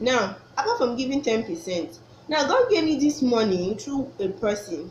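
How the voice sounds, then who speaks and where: Over noticeable background noise, a woman with a Nigerian accent speaks at a high pitch and a moderate pace, her pitch swinging very widely. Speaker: vlogger. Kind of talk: casual faith talk to camera. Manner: halting, self-correcting.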